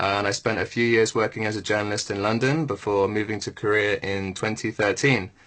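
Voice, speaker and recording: Talking at a fairly quick pace with hardly any pauses, a man with an English accent uses a fairly low pitch and fairly even intonation. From southern England, Bournemouth. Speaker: radio presenter. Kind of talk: radio presenting; radio show chat.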